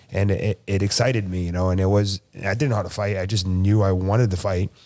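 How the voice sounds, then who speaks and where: Speaking very fast, a man with an American accent has a fairly low pitch. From South Florida. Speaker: jiu-jitsu athlete and MMA fighter. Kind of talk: podcast interview. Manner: casual, filler-heavy.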